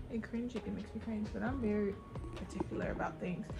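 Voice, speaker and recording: Fairly quick speech over clear music in the background. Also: woman. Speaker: vlogger. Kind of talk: casual vlog chat. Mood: relaxed, chatty. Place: home room. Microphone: phone near.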